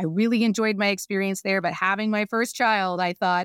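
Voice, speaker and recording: A woman with an American accent has an unremarkable speaking voice at a medium pitch with fairly even intonation. The sound is dry and close with no echo, on a very clean recording with a silent background. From US, Northern Virginia. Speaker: business owner and CEO. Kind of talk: casual interview.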